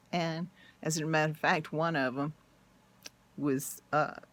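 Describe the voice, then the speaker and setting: In a very clean recording with a silent background, a woman with a very deep, low voice speaks at a fairly slow pace in an animated tone. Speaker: YouTuber sharing personal experience. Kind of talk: personal testimony monologue. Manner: emotional, animated.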